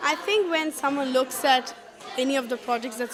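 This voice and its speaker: Crowd noise sits in the background as a woman speaks at a moderate pace in a Keralan accent. Her pitch is high, with ordinary variation. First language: Malayalam. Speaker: parent at a workshop. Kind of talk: interview.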